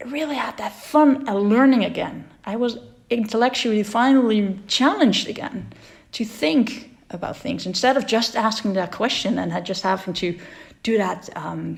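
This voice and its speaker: The speaker talks at a moderate pace with a Dutch accent. Pitch variation is ordinary, with some vocal fry. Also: woman, fairly high pitch for a woman. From Netherlands. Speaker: entrepreneur and dyslexia advocate. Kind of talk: personal talk. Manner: halting.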